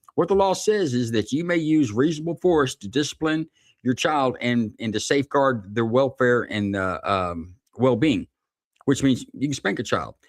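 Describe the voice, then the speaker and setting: A man's plain, everyday voice at a medium pitch, with lively intonation and a fairly quick pace, dry and close with no echo over a quiet background. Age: 50s. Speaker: former police officer. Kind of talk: casual chat.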